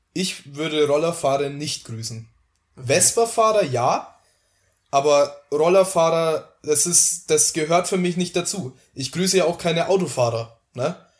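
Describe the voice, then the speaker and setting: With a Franconian accent, a man of fairly high pitch speaks at a fairly slow pace with ordinary pitch variation on a very clean recording with a silent background. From Franconia, Germany. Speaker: podcast guest. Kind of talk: casual chat.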